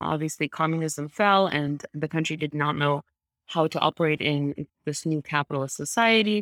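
Very deep and low in pitch, a woman with a Russian accent shows ordinary pitch variation in a dry, close sound with no echo, on a very clean recording with a silent background. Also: moderate pace. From Moscow, Russia. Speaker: venture capital investor. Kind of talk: casual interview conversation.

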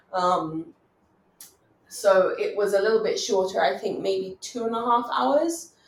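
Her pitch swings very widely as she speaks. This woman has a British accent and a fairly slow pace. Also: medium pitch for a woman. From England. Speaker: doctor. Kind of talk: casual interview conversation. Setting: online recording from home.

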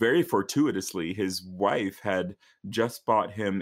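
A man speaks at a fairly low pitch in an American accent. The recording is very clean, with a silent background. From rural northern Virginia, US. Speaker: opera singer. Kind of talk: interview.

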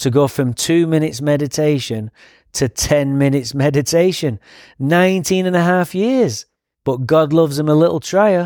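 On a very clean recording with a silent background, a man speaks at a fairly high pitch with ordinary pitch variation and very even loudness. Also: moderate pace. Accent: English. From England. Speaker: recovering alcoholic sharing story. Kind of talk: recovery testimony. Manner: animated.

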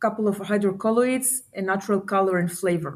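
In an Israeli accent, a woman at a medium pitch speaks at a moderate pace with fairly even intonation on a very clean recording with a silent background. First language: Hebrew. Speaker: startup founder and CEO. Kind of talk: interview. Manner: halting, many fillers.

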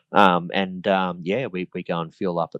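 A man speaks in an Australian accent with a very deep, low pitch. The sound is dry and close, with no echo. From Queensland, Australia. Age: 40s. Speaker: model aircraft racer. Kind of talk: interview.

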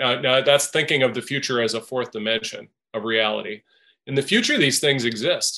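A man with an American accent talks at a fairly quick pace and medium pitch, his tone bright and sharp. His pitch varies normally against a quiet background. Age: 50s. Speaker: business founder. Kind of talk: interview.

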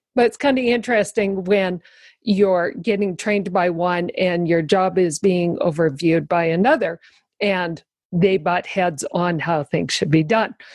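This is a plain, everyday voice at a fairly slow pace. Pitch varies in an ordinary way against a quiet background. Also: woman, medium pitch for a woman. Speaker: guest sharing life story. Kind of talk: casual interview chat.

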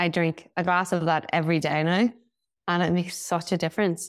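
A woman with a Northern Irish accent speaks at a moderate pace in a fairly low pitch, the sound dry and close with no echo. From Northern Ireland. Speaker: hairstylist and founder. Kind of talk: casual interview chat.

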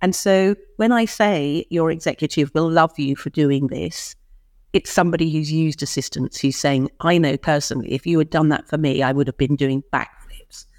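A woman's very deep, low-pitched voice in a dry, close sound with no echo. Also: ordinary pitch variation, moderate pace, very clean recording, silent background. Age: 50s. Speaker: publishing CEO and speaker. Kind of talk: podcast interview.

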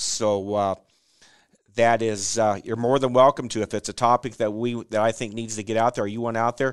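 A man talks at a fairly quick pace with an American accent. His intonation is monotone and flat, over a quiet background. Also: dry, close sound with no echo. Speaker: podcast host, cattle breeder. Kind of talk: casual interview chat. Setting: studio.

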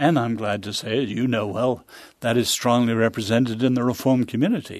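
Fairly quick and with fairly even intonation, a man with a British accent speaks at medium pitch. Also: quiet background. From England, childhood partly in China. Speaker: author and social analyst. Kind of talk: interview conversation. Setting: studio.

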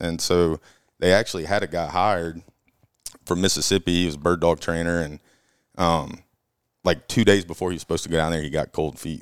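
A man's very deep, low voice with an Alabama accent, very fast, on a very clean recording with a silent background. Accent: Southern US (Alabama). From Alabama, Auburn. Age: 20s. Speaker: hunting guide. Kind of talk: casual chat.

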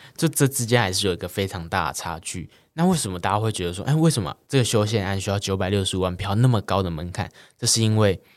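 Talking at a very fast pace, a man with a fairly low pitch and ordinary pitch variation comes through a very clean recording with a silent background. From Taiwan, Kaohsiung. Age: young. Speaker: student activist. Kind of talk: interview.

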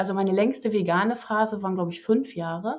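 A woman talks in a normal speaking voice. Her pitch is medium and her intonation fairly even. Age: 40s. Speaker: interview guest, carnivore diet convert. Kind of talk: casual interview.

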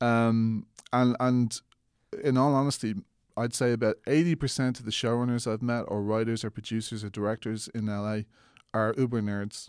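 A man with an Irish accent speaks at a moderate pace with medium pitch and fairly even intonation. The recording is very clean with a silent background, and the sound is dry and close with no echo. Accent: soft Irish, often heard as Mid-Atlantic. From Ireland. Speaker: filmmaker. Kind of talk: casual interview.

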